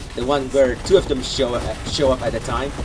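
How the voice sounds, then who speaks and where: Over background music, a man speaks at a moderate pace. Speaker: gaming youtuber. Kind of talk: gameplay commentary.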